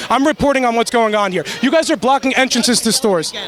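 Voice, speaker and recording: Over noticeable background noise, a man with an extremely high pitch talks at a very fast pace in an animated tone, his pitch varying in an ordinary way. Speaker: independent journalist interviewing protesters. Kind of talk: street interview, heated exchange. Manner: animated, argumentative.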